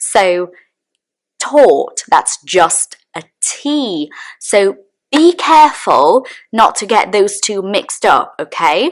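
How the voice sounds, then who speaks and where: Her pitch swings very widely. This woman, in a British accent, speaks at a very slow pace. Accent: British accent learned in the UK. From Brazil. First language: Portuguese. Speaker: English teacher. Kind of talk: tutorial. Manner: clear, deliberate enunciation.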